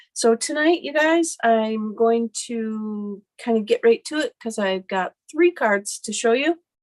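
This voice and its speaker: Fairly high in pitch, a woman's plain, everyday voice moves with lively intonation at a fairly slow pace. She hardly pauses, and the sound is dry and close with no echo. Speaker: craft demonstrator, stamping consultant. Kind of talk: live stream craft tutorial. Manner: casual, filler-heavy.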